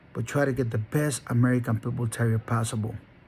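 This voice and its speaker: A somewhat breathy man with a Spanish accent, medium pitch, fairly even intonation and a fairly quick pace. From Honduras. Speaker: dog breeder. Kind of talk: motivational monologue. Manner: halting; emphatic.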